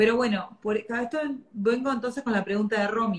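A woman speaks at a moderate pace with a Rioplatense accent and ordinary pitch variation. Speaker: podcast host. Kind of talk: casual chat. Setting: video livestream.

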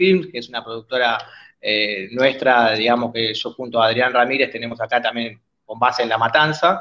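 The man's voice sits at a medium pitch and shows ordinary pitch variation. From Argentina, Buenos Aires area (San Justo). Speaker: filmmaker. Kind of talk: interview. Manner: halting, many repetitions.

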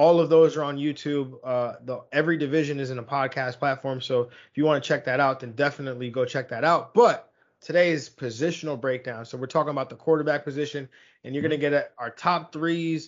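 A man's ordinary speaking voice, fairly high in pitch, at a fairly quick pace with fairly even intonation. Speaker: fantasy football podcast host. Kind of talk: casual sports podcast discussion.

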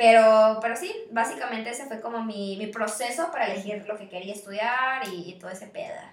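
A woman with a Mexican accent, fairly high-pitched and fairly quick, with ordinary pitch variation and big swings in loudness. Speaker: podcast co-host, university student. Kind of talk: casual chat.

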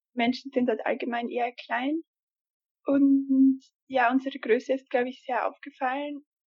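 A woman talks in a high pitch. Her intonation is monotone and flat. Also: moderate pace. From Austria. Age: 20s. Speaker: former volunteer abroad. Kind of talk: interview.

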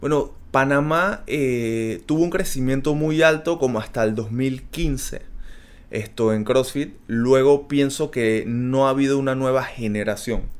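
At a very slow pace, a man speaks in a medium-pitched voice with ordinary pitch variation. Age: 30s. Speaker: athlete. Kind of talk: interview.

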